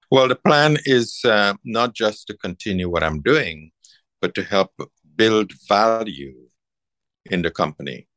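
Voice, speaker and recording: The speech has long, frequent pauses and very wide pitch swings. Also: man, fairly low pitch for a man, very clean recording, silent background. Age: 70s. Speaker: master tailor and business owner. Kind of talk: coaching session conversation.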